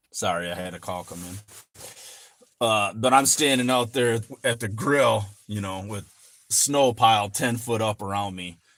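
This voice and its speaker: The recording is very clean with a silent background. A man with an American accent speaks at a medium pitch and a fairly slow pace, with ordinary pitch variation. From Michigan. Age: 40s. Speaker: finance YouTuber and farmer. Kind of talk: livestream chat. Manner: casual, rambling with fillers.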